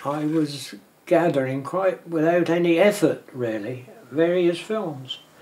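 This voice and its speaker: Fairly slow speech from a man, ordinary in pitch variation, with noticeable background noise behind. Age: 80s+. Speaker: amateur filmmaker and film collector. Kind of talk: interview. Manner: halting.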